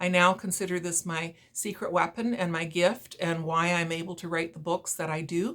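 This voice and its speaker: A woman with a Canadian accent speaks at a medium pitch. Her pace is moderate. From Ontario, Canada (Brantford). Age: 60s. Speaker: author. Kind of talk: talk about own book to viewers. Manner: hesitant, many fillers.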